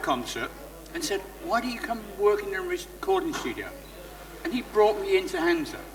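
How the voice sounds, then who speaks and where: A man talks at a moderate pace with very wide pitch swings. Noticeable background noise is present. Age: 60s. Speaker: former recording studio engineer. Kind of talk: interview at a live event. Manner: animated.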